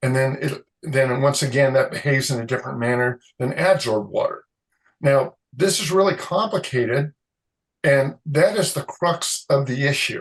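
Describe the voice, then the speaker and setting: A man's fairly high, somewhat breathy voice at a moderate pace, with ordinary pitch variation. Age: 60s. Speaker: concrete moisture expert, chemist. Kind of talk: interview. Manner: halting.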